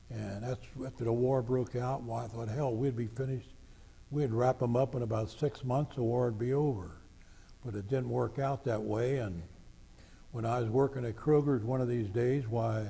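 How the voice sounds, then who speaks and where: Somewhat breathy and dark, mellow in tone, a man talks at a moderate pace with fairly even intonation. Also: medium pitch for a man. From Greater Cincinnati (northern Kentucky/southwest Ohio). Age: 80s+. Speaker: war veteran. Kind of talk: oral history interview.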